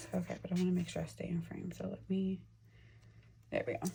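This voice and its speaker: A woman speaks at a fairly quick pace. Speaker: budgeting vlogger. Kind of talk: casual vlog tutorial. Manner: soft-spoken; hesitant, many fillers. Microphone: may be too quiet.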